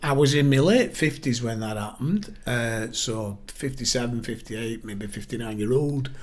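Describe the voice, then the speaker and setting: Audible room echo surrounds a man with a northern English accent who talks at a moderate pace in a medium pitch, with ordinary pitch variation and hardly any pauses. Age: 60s. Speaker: local party chair. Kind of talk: podcast interview.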